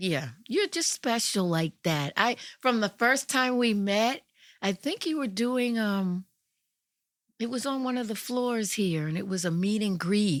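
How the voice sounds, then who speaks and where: A woman with an American accent speaks at a fairly slow pace in a fairly high pitch with lively intonation and a normal speaking voice, on a very clean recording with a silent background. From New York. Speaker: radio host. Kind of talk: interview answer.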